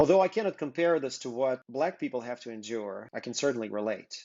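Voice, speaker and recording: A man with a Russian accent talks at a fairly quick pace. His medium pitch carries lively intonation. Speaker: business co-founder presenting interview project. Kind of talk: prepared video introduction. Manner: earnest.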